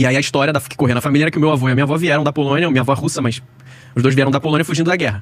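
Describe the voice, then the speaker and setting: A man's fairly high voice with a Rio de Janeiro accent, very fast and fairly even in intonation, over noticeable background noise. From Rio de Janeiro, Brazil. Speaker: former sports TV producer. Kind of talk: podcast interview.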